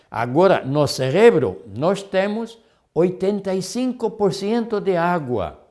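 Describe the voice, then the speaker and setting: A high-pitched man with a dark, mellow tone, speaking at a very slow pace amid audible room echo. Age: 70s. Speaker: health lecturer. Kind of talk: lecture. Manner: halting.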